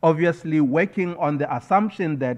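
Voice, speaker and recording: With a Botswana accent, a man speaks at a moderate pace with ordinary pitch variation. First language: Setswana. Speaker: scholar and poet. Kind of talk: keynote speech. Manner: formal.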